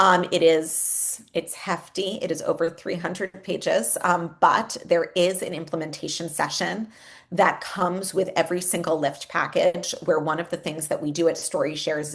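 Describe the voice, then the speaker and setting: Here a woman talks in a normal speaking voice at a fairly low pitch. Her intonation is fairly even and her pace is moderate. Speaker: education executive, former teacher. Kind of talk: webinar presentation. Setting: online webinar.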